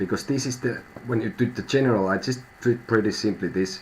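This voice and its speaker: A man speaks with a Finnish accent and ordinary pitch variation. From Finland. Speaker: tarot reader. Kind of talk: live stream tarot reading. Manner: halting, thinking out loud.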